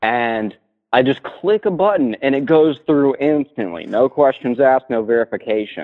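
Lively intonation marks a man's medium-pitched voice, an unremarkable speaking voice with an American accent. He keeps a moderate pace. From Florida Panhandle. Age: 20s. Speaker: caller. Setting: phone call.

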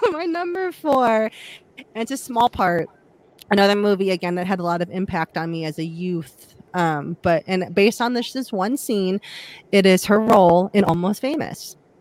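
A woman talks at medium pitch with a Midwestern US accent. Her intonation is lively and her pace moderate. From Ohio. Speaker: podcast host. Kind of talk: casual chat.

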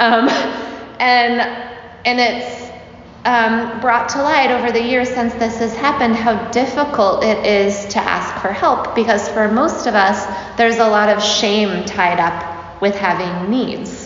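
With very even loudness and ordinary pitch variation, a woman speaks fairly slowly in a fairly high voice, with audible room echo and noticeable background noise. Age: 40s. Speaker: yoga teacher. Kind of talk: casual talk to a class.

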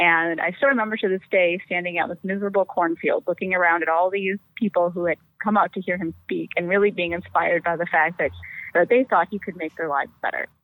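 Talking at a very fast pace, a woman with a Wisconsin accent keeps a fairly even intonation at a fairly low pitch. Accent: Upper Midwest (Wisconsin). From Wisconsin, Fox Valley (Appleton). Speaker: politician, congressional candidate. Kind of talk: interview.

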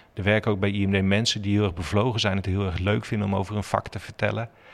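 A man with a fairly low pitch at a fairly quick pace, in a very clean recording with a silent background. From Netherlands, Zutphen (Gelderland). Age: 40s. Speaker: water technology company employee. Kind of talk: interview.

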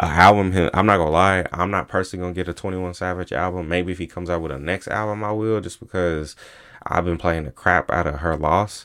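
The speech moves at a very fast pace with fairly even intonation. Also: man, very deep, low pitch for a man. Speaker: solo podcast host. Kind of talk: casual monologue. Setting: recording on laptop at home. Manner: fast, stumbling over words.

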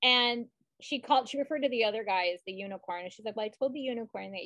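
Here is a woman with an ordinary speaking voice, fairly high in pitch. Her pitch varies in an ordinary way, and the sound is dry and close with no echo. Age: 40s. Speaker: podcast co-host. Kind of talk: casual chat.

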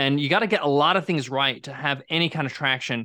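A man with an American accent speaks at a fairly high pitch in a bright, sharp tone. The recording is very clean, with a silent background. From New York. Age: 40s. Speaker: podcast host and software entrepreneur. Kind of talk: interview.

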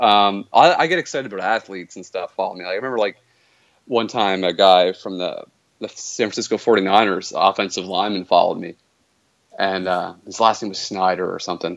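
The man's loudness swings widely as he talks at a fairly quick pace. His pitch is fairly low, with ordinary variation. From Canada. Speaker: video game streamer. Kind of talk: casual interview. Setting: remote call-in.

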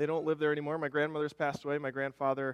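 A man talks with an Upper Midwest accent. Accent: Upper Midwest American. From Minnesota, Rochester. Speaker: worship leader and church elder. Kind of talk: sermon. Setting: church. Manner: casual, halting with fillers.

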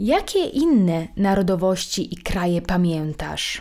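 Speaking very slowly, a woman uses a fairly low voice with a dark, mellow tone. The recording is very clean, with a silent background. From Italy. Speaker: language teacher, podcast host. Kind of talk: language lesson with dialogue and repetition.

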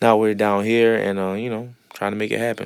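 A man with a New Orleans accent at a moderate pace, in a very clean recording with a silent background. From New Orleans, Louisiana. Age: 20s. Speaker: entrepreneur, restaurant owner. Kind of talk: interview.

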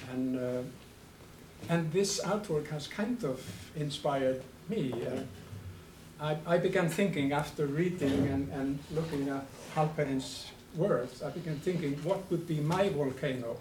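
A soft-spoken man with an Icelandic accent talks at a fairly slow pace and a fairly high pitch. Noticeable background noise runs behind him. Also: ordinary pitch variation. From Iceland, Westman Islands. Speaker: anthropology professor. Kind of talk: academic lecture. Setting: lecture hall with audience.

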